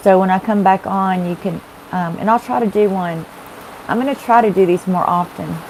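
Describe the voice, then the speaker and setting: With a Texas accent, a woman speaks at a moderate pace and medium pitch, her intonation fairly even. Noticeable background noise runs underneath. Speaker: tarot reader. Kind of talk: live-stream tarot readings. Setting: live stream. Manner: chatty, casual.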